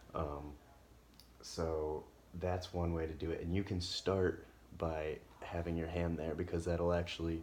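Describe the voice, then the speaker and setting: A quiet man speaks at a fairly slow pace in a very deep, low pitch, his intonation monotone and flat. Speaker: health practitioner. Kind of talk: casual instructional talk. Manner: quiet, hushed.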